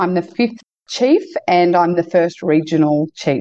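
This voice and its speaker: A dark, mellow tone with ordinary pitch variation, in an Australian accent. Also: woman. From Queensland, Australia. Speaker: entrepreneur and community development leader. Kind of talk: interview.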